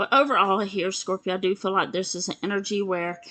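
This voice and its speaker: This woman has a bright, sharp tone at a medium pitch and an American accent. She talks at a moderate pace. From US South. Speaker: tarot reader. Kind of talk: tarot reading monologue. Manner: casual, filler-heavy.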